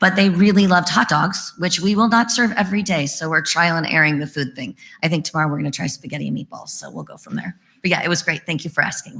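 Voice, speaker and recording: Speaking very fast, a woman with a fairly low pitch shows ordinary pitch variation and big swings in loudness. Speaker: early learning center director. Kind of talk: question and answer session.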